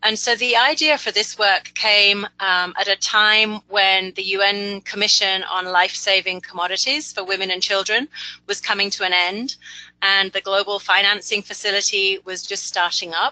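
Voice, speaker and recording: Her tone bright and sharp, a woman speaks at a medium pitch and moderate pace with fairly even intonation. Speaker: principal technical advisor, webinar presenter. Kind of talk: webinar presentation. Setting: webinar broadcast.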